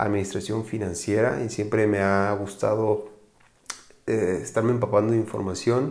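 A man's dark, mellow voice at fairly low pitch and a moderate pace, with audible room echo. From Mexico, Guadalajara, Jalisco. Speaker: financial advisor, podcast host. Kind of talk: casual podcast monologue. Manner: hesitant with fillers and repetitions.

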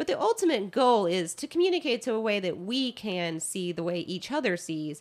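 A woman speaks at a fairly quick pace. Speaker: nurse; podcast co-host. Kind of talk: casual chat. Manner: animated.

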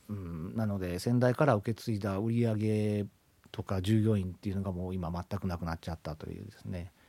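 A man talks at a fairly quick clip in a fairly low, dark and mellow voice, his loudness swinging widely while his pitch moves in an ordinary way. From Japan, Ishikawa Prefecture. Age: 50s. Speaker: company CEO. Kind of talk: radio interview.

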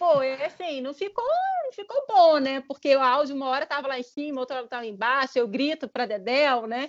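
At a fairly quick pace, a woman talks in an animated tone. Her pitch is high, with ordinary variation. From Brazil, Vila Velha (Espírito Santo). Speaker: marketing analyst and immigrant. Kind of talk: interview.

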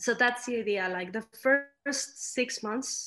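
A woman with a Spanish accent, moderate pace, and ordinary pitch variation. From Mexico. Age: 30s. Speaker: architect. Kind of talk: interview.

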